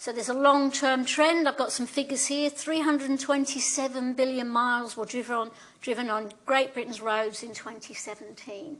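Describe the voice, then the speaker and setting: A woman with a London accent speaks at a high pitch and a moderate pace, with hardly any pauses. Her intonation is fairly even, though her loudness swings widely. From London, England. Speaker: professor. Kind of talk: lecture. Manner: conversational, frequent tag questions.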